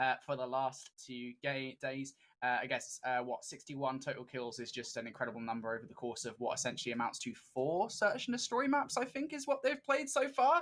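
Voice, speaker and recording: A British-accented man at a fairly quick pace, on a very clean recording with a silent background. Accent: British, noted by himself. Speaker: esports caster. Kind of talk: live commentary. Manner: animated.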